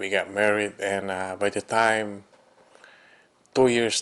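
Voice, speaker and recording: The tone is bright and sharp. The pace is fairly slow. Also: man. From Philippines. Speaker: physician. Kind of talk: testimony.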